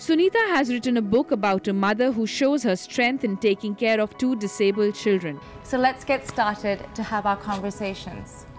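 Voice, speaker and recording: Faint music plays in the background as a woman talks at a moderate pace with hardly any pauses. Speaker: talk show host. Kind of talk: show host introduction. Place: studio.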